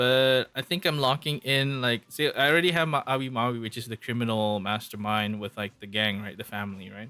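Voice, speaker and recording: A man talks at a fairly quick pace with hardly any pauses, his pitch medium for a man, while music plays in the background. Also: ordinary pitch variation. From Malaysia. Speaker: VTuber streamer. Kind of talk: casual chat. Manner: casual, filler-heavy.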